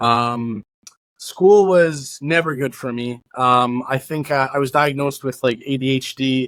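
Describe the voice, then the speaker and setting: Fairly slow and fairly even in intonation, a plain, everyday voice with a Canadian accent is captured in a very clean recording with a silent background. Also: man. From Canada, Winnipeg (Transcona). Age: 30s. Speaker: former organized crime member. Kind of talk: interview. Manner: casual, many fillers.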